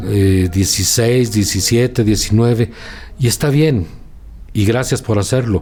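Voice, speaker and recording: In an ordinary speaking voice, a man speaks at a fairly slow pace and a fairly low pitch, with ordinary pitch variation and very even loudness. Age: 60s. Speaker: journalist. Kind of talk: interview.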